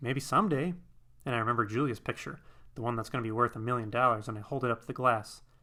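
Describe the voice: The clip is plain reading aloud.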